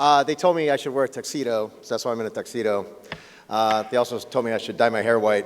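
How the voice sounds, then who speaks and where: A man speaks at medium pitch and a very fast pace. Noticeable background noise runs under his voice. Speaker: game show host. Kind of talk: award presentation speech. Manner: joking.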